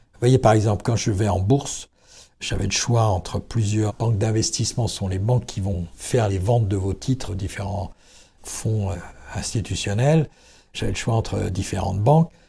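On a very clean recording with a silent background, a man with a dark, mellow, somewhat breathy tone speaks at a moderate pace with ordinary pitch variation. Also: fairly low pitch for a man. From Vendée, western France. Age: 60s. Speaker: business founder and CEO. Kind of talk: interview. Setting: company premises.

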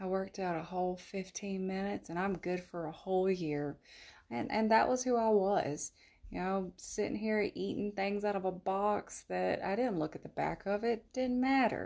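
A woman speaks with a Southern US accent and ordinary pitch variation. The recording is very clean, with a silent background. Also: medium pitch for a woman, moderate pace. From US South, South Carolina. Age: 30s. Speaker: podcast host. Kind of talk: casual monologue. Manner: talkative.

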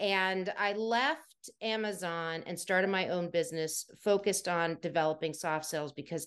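A woman with an American accent and a plain, everyday voice speaks at a fairly low pitch and a moderate pace, with ordinary pitch variation, over a quiet background. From US, Washington DC area. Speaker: soft skills trainer and former HR professional. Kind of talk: interview conversation.

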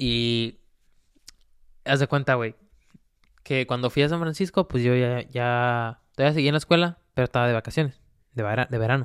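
With a Mexican accent, a man speaks at medium pitch and a moderate pace, with ordinary pitch variation, long, frequent pauses and a dry, close sound with no echo. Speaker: solo podcast host. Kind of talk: casual monologue. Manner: animated.

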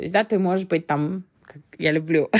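Her pitch is fairly low and her tone dark and mellow. This woman speaks at a fairly slow pace. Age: 30s. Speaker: podcast host. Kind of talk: solo podcast monologue. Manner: hesitant, many fillers.

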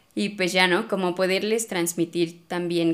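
Here is an unremarkable speaking voice. It moves at a fairly slow pace. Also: woman. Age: 20s. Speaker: pole dance instructor and studio owner. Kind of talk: casual interview.

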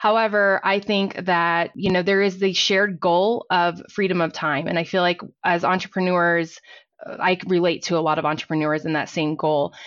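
A woman with an unremarkable speaking voice talks at a moderate pace in a fairly low pitch, her loudness very even and her intonation fairly even. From Texas, Fort Worth. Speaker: accountant and small business owner. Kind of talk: interview.

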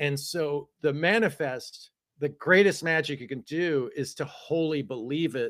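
A man with an ordinary speaking voice and ordinary pitch variation. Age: 50s. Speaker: author and multimedia artist. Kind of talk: casual interview chat.

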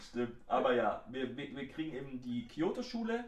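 Audible room echo surrounds a man whose fairly high voice has ordinary pitch variation. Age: 20s. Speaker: podcast co-host. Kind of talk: casual chat.

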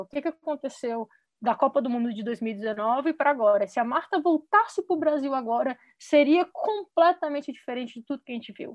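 Talking at a fairly quick pace, a woman uses a high pitch and lively intonation. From Brasília, Brazil. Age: 30s. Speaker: football player and coach. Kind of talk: casual chat.

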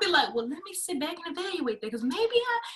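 Raised and projected, a woman's voice races at a very fast pace with very wide pitch swings. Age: 20s. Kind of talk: casual chat.

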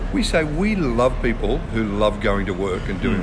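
There is audible room echo and noticeable background noise as a man talks with an Australian accent. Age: 50s. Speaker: pastor. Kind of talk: casual chat.

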